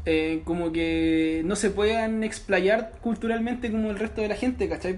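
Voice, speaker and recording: The speaker talks at a moderate pace with a Chilean accent. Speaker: student podcast host. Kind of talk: casual chat.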